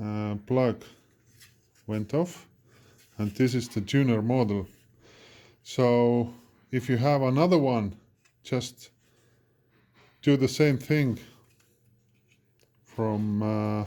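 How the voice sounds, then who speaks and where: A man with a non-native accent and a dark, mellow tone speaks very slowly at a medium pitch with ordinary pitch variation, leaving long, frequent pauses. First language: not English. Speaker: electronics repair technician. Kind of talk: tutorial. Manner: halting, many fillers.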